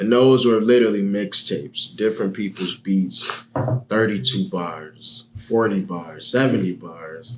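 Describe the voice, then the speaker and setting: A man's fairly low voice at a fairly slow pace, with ordinary pitch variation over noticeable background noise. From Miami, Florida. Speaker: rapper. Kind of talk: podcast interview.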